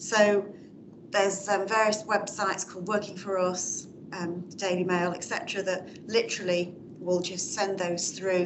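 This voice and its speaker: A woman's medium-pitched voice at a moderate pace with fairly even intonation, plus audible room echo and noticeable background noise. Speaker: audience member, public sector manager. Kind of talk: Q&A contribution at a talk.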